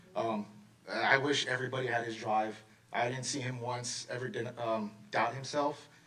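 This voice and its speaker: Noticeable background noise surrounds a man speaking at a medium pitch and moderate pace with fairly even intonation. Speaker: swim coach. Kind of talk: award speech at public meeting. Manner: loud.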